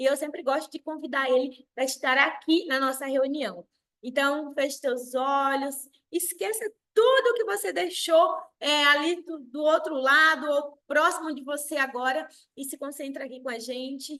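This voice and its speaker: The voice is raised and projected, bright and sharp in tone, with ordinary pitch variation and a fairly slow pace. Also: woman, high pitch for a woman. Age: 30s. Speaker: sales director. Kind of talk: motivational talk. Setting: video call.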